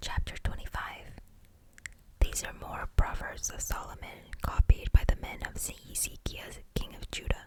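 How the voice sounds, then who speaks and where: Noticeable background noise behind a woman's whisper, moderate in pace. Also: big swings in loudness. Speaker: ASMR Bible reader. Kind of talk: scripture reading for sleep. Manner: soft-spoken, whispered.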